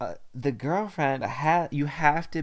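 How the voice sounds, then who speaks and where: A normal speaking voice at a moderate pace. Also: man. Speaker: podcast host. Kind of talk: casual chat.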